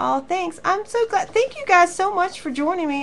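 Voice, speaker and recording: In a Southern US accent, a woman talks at a moderate pace with a warm tone and lively intonation. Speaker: craft teacher. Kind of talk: live online class wrap-up chat. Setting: live stream to viewers. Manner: warm, chatty.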